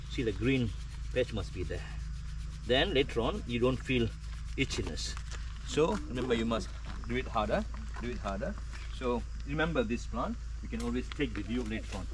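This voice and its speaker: Amid noticeable background noise, a man with a very deep, low pitch speaks in a monotone, flat way with long, frequent pauses. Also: moderate pace. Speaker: nature guide. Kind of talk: guided tour explanation. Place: forest. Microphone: camera far.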